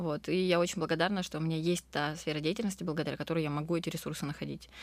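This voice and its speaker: Very deep and low in pitch, a woman speaks with vocal fry on a very clean recording with a silent background. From southern Russia, Krasnodar. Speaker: restaurant owner. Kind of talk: interview.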